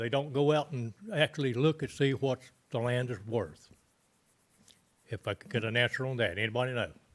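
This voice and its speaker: This man talks fairly quickly with a western North Carolina accent. His pitch sits at a medium level. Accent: Southern US, western North Carolina. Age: 80s+. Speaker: resident speaking at public comment. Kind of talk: public comment at a government meeting. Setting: county commissioners' meeting room.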